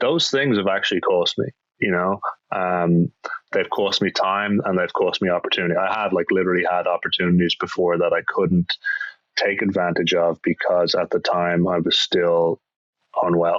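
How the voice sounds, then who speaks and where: A man with an Irish accent and very even loudness. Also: moderate pace. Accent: Irish brogue. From Ireland, Dublin. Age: 30s. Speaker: actor. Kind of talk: podcast interview.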